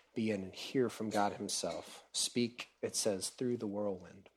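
On a very clean recording with a silent background, a man with an unremarkable speaking voice talks at a moderate pace, his fairly low pitch held in fairly even intonation. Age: 30s. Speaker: preacher. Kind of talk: sermon. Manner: casual, with many fillers.

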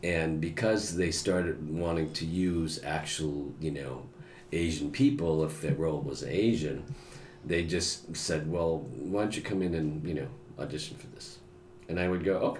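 With an American accent, a man speaks at a moderate pace in a very deep, low pitch, with audible room echo. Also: ordinary pitch variation. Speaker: actor and voiceover artist. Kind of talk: casual chat.

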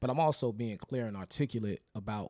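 A man speaks at a medium pitch with ordinary pitch variation, his voice dry and close with no echo on a very clean recording against a silent background. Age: 30s. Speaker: comedian. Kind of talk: casual chat.

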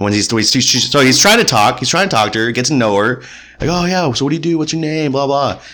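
Over noticeable background noise and audible room echo, a man with a fairly high pitch speaks very fast with lively intonation. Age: 20s. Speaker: podcast co-host. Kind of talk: casual book discussion.

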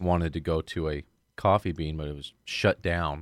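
The recording is very clean with a silent background. A man speaks with a very deep, low pitch and fairly even intonation. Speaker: podcast host. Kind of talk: casual banter podcast chat. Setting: studio.

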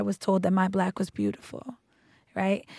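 In an unremarkable speaking voice, a woman talks at a moderate pace and medium pitch on a very clean recording with a silent background. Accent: American. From Roxbury, Boston, US. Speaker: alumna. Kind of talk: casual chat.

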